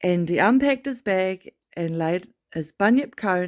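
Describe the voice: Over a quiet background, a plain reading aloud carries lively intonation.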